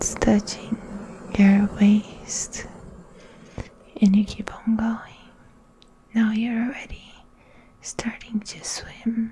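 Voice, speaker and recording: Whispering at a very slow pace with long, frequent pauses, amid noticeable background noise. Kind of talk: guided meditation / ASMR relaxation narration. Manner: soft-spoken, slow.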